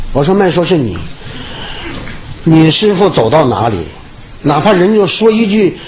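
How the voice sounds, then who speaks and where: Over noticeable background noise, a man talks at a moderate pace with very wide pitch swings. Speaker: comedian. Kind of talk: public speech. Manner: humorous.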